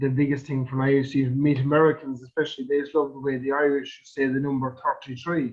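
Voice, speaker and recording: A man speaks at a fairly quick pace. His fairly high voice is monotone and flat. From Ireland, Kerry/Limerick. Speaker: podcast host. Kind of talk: podcast interview.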